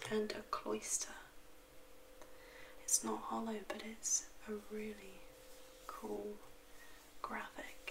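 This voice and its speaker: A soft-spoken woman talks at a very slow pace with long, frequent pauses, noticeable background noise around her. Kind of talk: soft-spoken ASMR card opening. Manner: soft-spoken, quiet.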